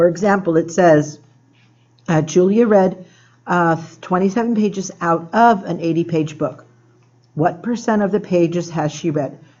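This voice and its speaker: There is audible room echo as a woman talks with a fairly low pitch and ordinary pitch variation. Her speech has long, frequent pauses. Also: moderate pace. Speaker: math teacher. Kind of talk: tutorial. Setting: classroom after school.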